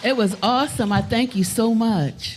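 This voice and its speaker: Over noticeable background noise, a woman with a fairly high voice speaks with ordinary pitch variation. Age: 80s+. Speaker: music leader. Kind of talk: casual chat.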